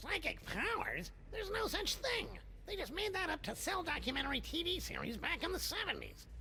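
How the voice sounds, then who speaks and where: A put-on character voice speaks at a fairly quick pace. Background noise is clearly heard. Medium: video game. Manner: mopey, self-pitying.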